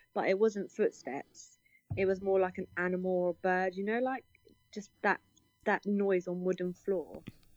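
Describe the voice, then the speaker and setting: In a British accent, a woman speaks at a medium pitch with monotone, flat intonation, and the sound is dry and close with no echo. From UK. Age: 20s. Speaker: paranormal investigator. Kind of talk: interview.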